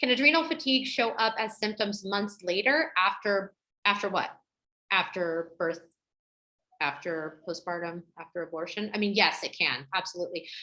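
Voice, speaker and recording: A woman's medium-pitched voice, bright and sharp in tone, with very wide pitch swings. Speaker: women's health educator. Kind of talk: webinar Q&A. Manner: fast.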